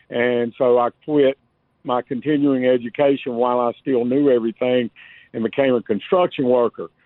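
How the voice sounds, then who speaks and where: The speaker has a Southern US accent. The intonation stays fairly even. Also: man. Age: 50s. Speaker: caller, electrician. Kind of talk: radio call-in.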